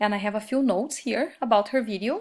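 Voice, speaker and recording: The speaker has a Brazilian Portuguese accent and ordinary pitch variation at a moderate pace. The recording is very clean with a silent background. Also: woman. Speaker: Spanish teacher. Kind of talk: recorded course reflection. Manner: hesitant, many fillers.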